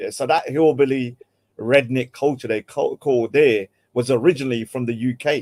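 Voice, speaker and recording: In a London accent, a man speaks at a moderate pace. His intonation stays fairly even. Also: dry, close sound with no echo. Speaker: podcast host. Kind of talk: casual chat.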